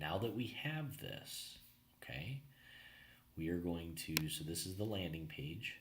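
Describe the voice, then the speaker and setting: Somewhat breathy and very deep, low in pitch, a man speaks at a fairly slow pace with lively intonation, long, frequent pauses and audible room echo. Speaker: marketing consultant. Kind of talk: tutorial. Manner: casual, filler-heavy.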